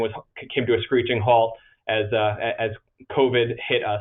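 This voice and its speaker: Monotone, flat intonation in a man's medium-pitched voice. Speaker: association president. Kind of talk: virtual meeting presentation. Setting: video conference from office. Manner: fast; hesitant, many fillers and repetitions.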